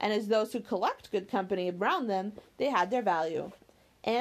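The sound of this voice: An unforced reading voice. Its pitch moves in an ordinary way.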